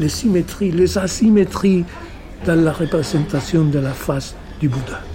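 Noticeable background noise behind a man's fairly slow, fairly high-pitched speech. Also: ordinary pitch variation. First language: Spanish (speaking French). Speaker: novelist. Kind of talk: interview. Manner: halting.

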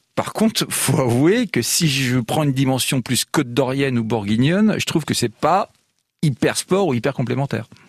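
Lively intonation and very even loudness come at a moderate pace in a dry, close sound with no echo. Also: man, medium pitch for a man. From France, born in Lyon, lives in Dijon. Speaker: magazine publisher. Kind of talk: casual chat. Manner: halting, many repetitions.

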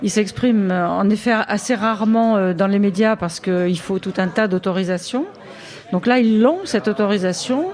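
With noticeable background noise behind her, a woman speaks at a moderate pace. Her pitch is medium, with ordinary variation. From Burgundy, France (Côte-d'Or, near Dijon). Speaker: author and retired police commissioner. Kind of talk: radio interview. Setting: live radio broadcast from a café.

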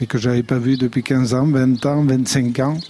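The voice has a dark, mellow tone and monotone, flat intonation. It moves at a very slow pace. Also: man. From French Basque Country, Aldudes valley. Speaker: pig farmer and charcuterie business owner. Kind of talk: radio interview. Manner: halting.

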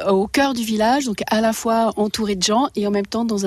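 Fairly even intonation in a woman's medium-pitched voice, against noticeable background noise. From Paris region, France. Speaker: potter and ceramicist. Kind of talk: radio interview. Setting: home workshop, village.

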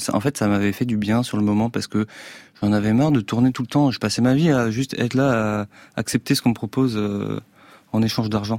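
At a fairly quick pace with fairly even intonation and long, frequent pauses, a man is captured in a very clean recording with a silent background and a dry, close sound with no echo. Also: medium pitch for a man. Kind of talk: casual interview. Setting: radio studio.

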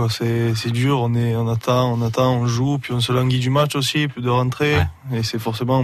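Moderate pace and flat, monotone intonation from a man with a medium pitch. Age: young. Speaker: rugby league player. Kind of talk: radio interview. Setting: radio studio.

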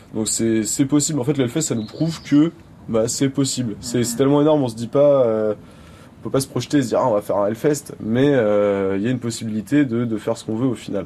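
This man talks at a very fast pace in a dark, mellow tone, his pitch sitting in the medium range. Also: ordinary pitch variation. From France, Clisson. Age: 20s. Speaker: festival volunteer. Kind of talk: casual interview.

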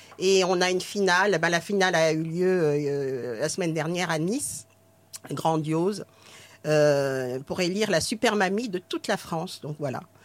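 Speaking at a fairly slow pace, a woman uses a normal speaking voice. Her pitch is fairly low, with ordinary variation. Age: 60s. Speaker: retired nurse and actress. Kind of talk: casual chat.

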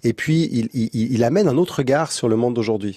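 At a fairly quick pace, a man talks with a dark, mellow tone at medium pitch and ordinary pitch variation. The sound is dry and close with no echo, against a quiet background. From Switzerland, Montreux. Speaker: comedy festival founder. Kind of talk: interview. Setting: studio.

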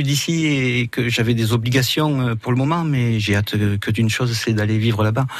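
In a room with audible echo and noticeable background noise, a man of medium pitch talks fairly slowly with ordinary pitch variation. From southern France (Roussillon). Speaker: restaurant owner, chef. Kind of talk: radio interview.

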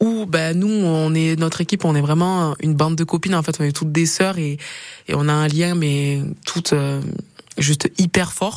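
A woman's very deep, low voice, with fairly even intonation at a moderate pace. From Perpignan, southern France. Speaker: rugby player. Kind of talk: interview. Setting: radio studio.

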